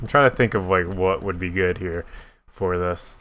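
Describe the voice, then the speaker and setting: Speaking at a moderate pace, a man has a very deep, low pitch and a bright, sharp tone in a very clean recording with a silent background. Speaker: gaming YouTuber. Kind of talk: casual gameplay commentary. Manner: voice cracks at times; casual, hesitant with fillers.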